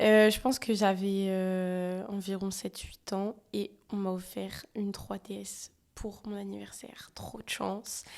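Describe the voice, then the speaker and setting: Her delivery is a flat monotone at medium pitch, very slow. This woman's loudness swings widely. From France. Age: 20s. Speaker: photographer and videographer. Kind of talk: casual chat.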